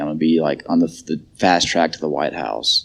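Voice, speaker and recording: At a very deep, low pitch, a man talks at a fairly quick pace with lively intonation and vocal fry. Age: 30s. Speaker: AA speaker, recovering alcoholic. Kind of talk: recovery testimony. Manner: casual, filler-heavy.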